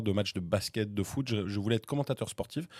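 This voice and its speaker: The man speaks at a fairly quick pace with a fairly low pitch and ordinary variation. His tone is dark and mellow, and the sound is dry and close with no echo. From France, Vendée (Pouzauges). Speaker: radio host and comedian. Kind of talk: podcast interview. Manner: talkative.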